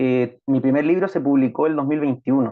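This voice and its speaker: With a Chilean accent, a man speaks fairly quickly in a fairly high voice, his intonation fairly even. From Chile, Concepción. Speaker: writer. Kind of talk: interview.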